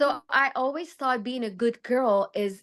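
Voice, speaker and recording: Against a quiet background, a woman with a Persian accent speaks fairly slowly in a high pitch with lively intonation. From Iran. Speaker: fashion designer and psychology student. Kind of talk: podcast interview. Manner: halting.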